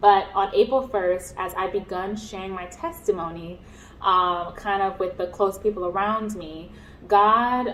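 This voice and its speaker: Noticeable noise sits in the background. The pace is fairly slow. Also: woman. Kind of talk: personal testimony. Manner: halting, many fillers.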